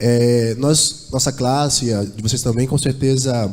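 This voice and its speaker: Room echo is audible behind this speaker. He is a man talking at a fairly slow pace. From São Paulo, Brazil. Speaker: church singer. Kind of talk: church address before a hymn. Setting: church.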